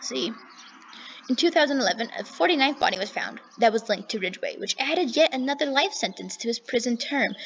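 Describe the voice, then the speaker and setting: A high-pitched woman's voice at a very fast pace, with very wide pitch swings. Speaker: true crime channel host. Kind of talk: reading aloud. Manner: animated.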